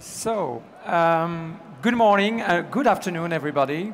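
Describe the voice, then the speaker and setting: A man speaks with a strong French accent. His pitch is high, with ordinary pitch variation. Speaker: business executive. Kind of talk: conference talk. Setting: stage with audience. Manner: halting, many fillers.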